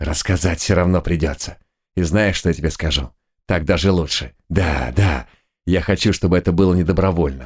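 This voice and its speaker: A put-on character voice moves at a fairly quick pace with very even loudness. The recording is very clean with a silent background, apart from some hissing. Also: man, very deep, low pitch for a man. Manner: ominous, threatening.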